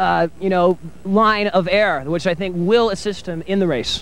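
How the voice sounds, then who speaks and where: Pitched high for a man, his voice keeps fairly even intonation at a moderate pace in a dry sound with no echo. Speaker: guest. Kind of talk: joking interview answer. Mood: playful mock-expert joking. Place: street. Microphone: handheld.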